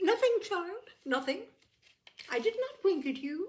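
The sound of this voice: A woman puts on a character voice pitched extremely high, with big pitch swings and a fairly slow pace.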